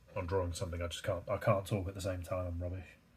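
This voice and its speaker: A man's very deep, low, somewhat breathy voice with a British accent, very fast, on a very clean recording with a silent background. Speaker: artist and YouTuber. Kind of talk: casual chat while drawing. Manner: monotone; hesitant, many fillers.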